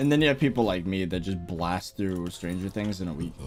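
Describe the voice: Over music in the background, a man with a slight New York accent and a very deep, low pitch talks at a fairly quick pace with lively intonation.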